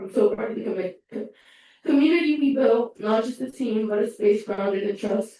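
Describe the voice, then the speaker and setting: A dark, mellow tone with a Spanish accent, ordinary pitch variation and a moderate pace. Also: woman. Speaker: student government officer. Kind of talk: farewell speech at meeting. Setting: student government meeting room.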